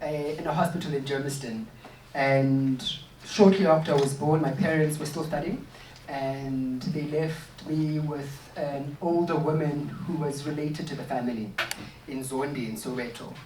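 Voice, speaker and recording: Noticeable background noise and a moderate pace. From South Africa, Gauteng (Katlehong). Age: 30s. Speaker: artist and writer leading a workshop. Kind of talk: workshop talk, personal storytelling. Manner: hesitant, many fillers.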